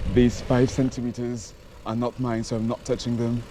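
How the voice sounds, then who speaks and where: A man speaking at a moderate pace. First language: French. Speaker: cycling vlogger. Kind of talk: casual vlog commentary while cycling. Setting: outdoors cycling on city streets. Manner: halting.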